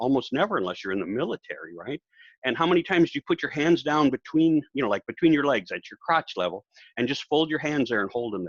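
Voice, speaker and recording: Speaking very fast with very wide pitch swings and vocal fry, a man with an American accent is captured in a dry, close sound with no echo. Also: quiet background. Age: 70s. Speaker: professional speaker. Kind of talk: casual interview.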